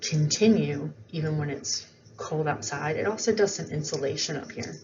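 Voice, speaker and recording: Amid noticeable background noise and audible room echo, a woman with a very deep, low pitch speaks at a moderate pace with lively intonation. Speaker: biology teacher. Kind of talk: lecture. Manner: casual with fillers.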